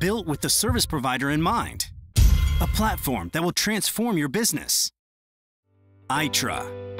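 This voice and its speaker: A man speaks fairly slowly while music plays in the background. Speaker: voice actor. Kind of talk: corporate promo narration. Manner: excited, high energy, dynamic; clear, articulate.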